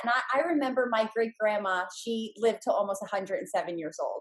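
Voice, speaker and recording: At a moderate pace, a woman talks in an unremarkable speaking voice, fairly high in pitch and with ordinary variation. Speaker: real estate investor and trainer. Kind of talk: podcast interview.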